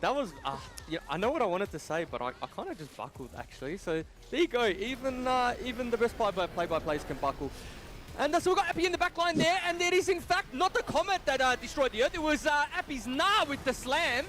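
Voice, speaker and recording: A man with an Australian accent talks at a very fast pace in an extremely high pitch, his voice swinging very widely in pitch over noticeable background noise. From Australia, Western Suburbs. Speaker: play-by-play esports caster. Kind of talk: live esports commentary.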